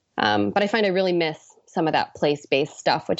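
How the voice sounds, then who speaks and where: At a moderate pace, a woman with an American accent speaks in a normal speaking voice, pitched fairly low. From US Pacific Northwest. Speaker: ocean policy fellow. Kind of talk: interview.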